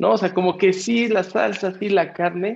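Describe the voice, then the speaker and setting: A man talks at a moderate pace. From Mexico City. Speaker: podcast co-host. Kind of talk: casual interview. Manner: halting, many repetitions.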